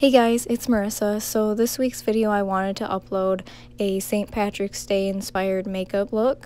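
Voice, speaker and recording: A woman talks at a medium pitch and a moderate pace in a dark, mellow tone. Her intonation is monotone and flat, on a very clean recording with a silent background. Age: young. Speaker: beauty vlogger. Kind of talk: tutorial. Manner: casual.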